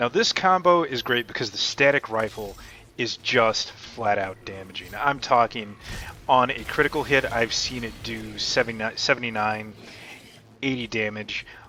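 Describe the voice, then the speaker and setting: Music plays in the background while a man of medium pitch speaks at a moderate pace. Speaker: gaming YouTuber. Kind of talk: gameplay commentary. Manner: casual, conversational.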